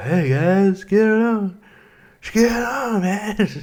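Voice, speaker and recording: A put-on character voice, fairly high in pitch, relaxed in tone and very slow in pace. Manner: laid-back, relaxed, stoned.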